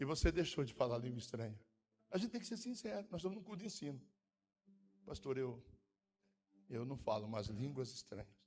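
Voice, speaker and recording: A man with a medium-pitched voice speaks at a fairly quick pace, his pitch swinging very widely, with a somewhat breathy quality and long, frequent pauses. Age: 60s. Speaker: pastor. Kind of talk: sermon. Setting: church.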